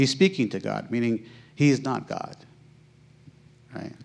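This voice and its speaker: Here a man talks at a fairly slow pace. He has an American accent. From United States. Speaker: Islamic teacher. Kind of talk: answer to audience question. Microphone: handheld.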